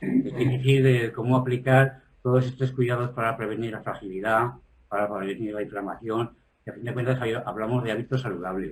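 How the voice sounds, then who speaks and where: A somewhat breathy man's voice of medium pitch, at a moderate pace with fairly even intonation. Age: 60s. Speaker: patient advocate living with HIV. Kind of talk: webinar panel discussion.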